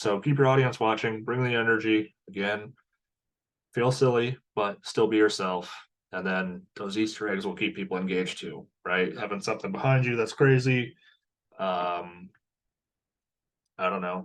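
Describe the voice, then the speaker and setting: At a moderate pace, a man speaks with a fairly low pitch and ordinary pitch variation. Long, frequent pauses break up his speech. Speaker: teacher and online course instructor. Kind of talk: online course lecture.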